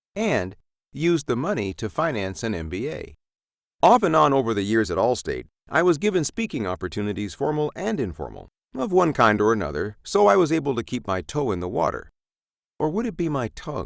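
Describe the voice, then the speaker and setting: In a very clean recording with a silent background, a man at a medium pitch uses vocal fry and very wide pitch swings at a fairly quick pace. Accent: West Coast US. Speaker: voice actor and narrator. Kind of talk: scripted narration.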